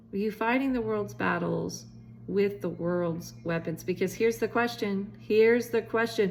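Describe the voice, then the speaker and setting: The voice belongs to a woman speaking at a moderate pace. Her pitch swings very widely. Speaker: preacher. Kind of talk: sermon teaching to camera.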